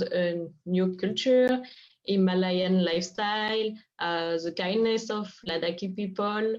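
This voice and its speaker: A woman with a French accent and ordinary pitch variation. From France. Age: 20s. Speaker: craft initiative co-founder. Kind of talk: interview.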